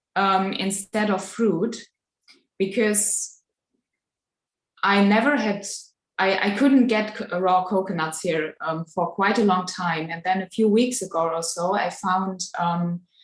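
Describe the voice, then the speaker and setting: Using fairly even intonation, a woman with a non-native accent speaks at a fairly slow pace with long, frequent pauses. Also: medium pitch for a woman. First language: not English. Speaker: live chat participant. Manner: halting.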